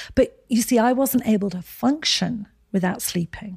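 Somewhat breathy, a woman's dark, mellow tone with ordinary pitch variation sounds dry and close, with no echo, on a very clean recording with a silent background. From Scotland, Edinburgh. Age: 60s. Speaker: skincare company founder. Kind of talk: interview.

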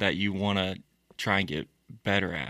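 On a very clean recording with a silent background, a man with an American accent speaks at a fairly low pitch in a bright, sharp tone, dry and close with no echo. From Florida (born Maryland, raised Florida). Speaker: hunting and outdoor videographer. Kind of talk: casual interview. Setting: studio.

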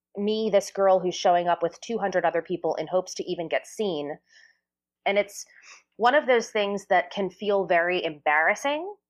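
An unremarkable speaking voice, a woman with an American accent speaks in a medium pitch at a moderate pace with ordinary pitch variation against a quiet background. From New Jersey. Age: 30s. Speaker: Broadway singer and actress. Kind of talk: interview.

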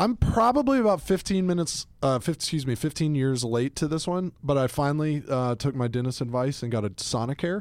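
A plain, everyday voice: a man with fairly high pitch and lively intonation, going at a fairly quick pace with hardly any pauses. The recording is very clean, with a silent background. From US South, Atlanta. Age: 30s. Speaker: podcast host, fashion editor. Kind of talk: casual chat. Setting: studio.

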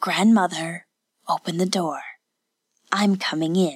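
A female-sounding put-on character voice, gravelly and at a middle pitch, speaks at a fairly slow pace. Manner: forced good-natured.

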